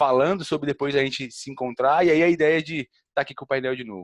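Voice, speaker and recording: A man talking at a very fast pace with a Goiás accent, dry sound with no echo, quiet background. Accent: Goiás accent, noticeable in the South. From Goiás, Brazil. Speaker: salesperson. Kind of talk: online panel discussion; interview answer. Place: home room. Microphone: headset.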